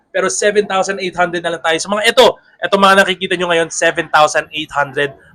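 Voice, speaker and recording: Fairly quick in pace, a man speaks. His voice is raised and projected. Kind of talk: sales pitch. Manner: lowered voice.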